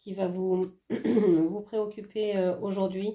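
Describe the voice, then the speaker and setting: The woman's tone is dark and mellow. Her intonation stays fairly even. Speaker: oracle card reader. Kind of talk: oracle card reading. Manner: hesitant, many fillers.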